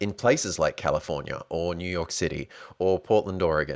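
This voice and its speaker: In a very clean recording with a silent background, a man with an Australian accent and a very deep, low pitch talks at a moderate pace in an animated tone. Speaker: podcast host. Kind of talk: solo podcast monologue.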